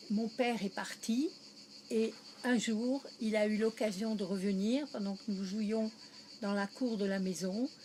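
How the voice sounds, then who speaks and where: Speaking at a very slow pace with long, frequent pauses, a woman uses a fairly high, somewhat breathy voice with a dark, mellow tone and fairly even intonation. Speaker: interviewee recalling wartime childhood. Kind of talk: interview.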